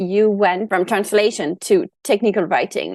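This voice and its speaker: A woman speaks with a French accent at a moderate pace, her pitch fairly high. The sound is dry and close, with no echo. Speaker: podcast host. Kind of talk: podcast interview.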